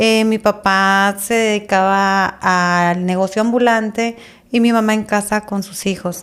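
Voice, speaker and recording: A woman's medium-pitched, monotone, flat voice at a fairly slow pace in a very clean recording with a silent background. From Tijuana, northwestern Mexico. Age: 40s. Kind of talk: testimony.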